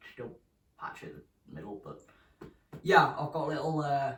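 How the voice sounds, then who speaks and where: A speaker with a British accent talks at a very fast pace. There is audible room echo. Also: man. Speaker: vlogger. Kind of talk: casual vlog update. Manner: casual, hesitant with many ums.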